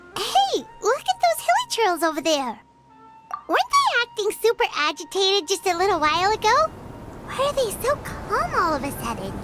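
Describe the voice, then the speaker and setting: A cartoonish character voice speaks at an extremely high pitch and a moderate pace. Faint music plays in the background. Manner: chatty, expressive.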